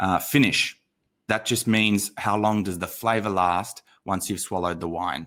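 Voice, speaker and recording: In an Australian accent, a man speaks with a bright, sharp tone at a fairly low pitch. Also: moderate pace. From Australia, Sydney. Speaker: wine educator. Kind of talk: online masterclass livestream. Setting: livestream. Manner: animated.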